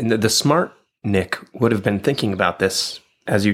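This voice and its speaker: Here is a man with an ordinary speaking voice, pitched fairly low for a man. He talks at a fairly quick pace with ordinary pitch variation. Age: 40s. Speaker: podcast co-host and former teacher. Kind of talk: casual chat. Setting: studio.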